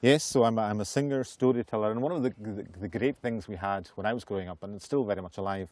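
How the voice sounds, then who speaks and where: Talking very fast with hardly any pauses, a man with a Hebridean accent uses a fairly low voice, ordinary pitch variation and big swings in loudness. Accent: Hebridean Scottish. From Western Isles, Scotland. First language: Scottish Gaelic. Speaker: Gaelic singer and storyteller. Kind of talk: casual interview chat.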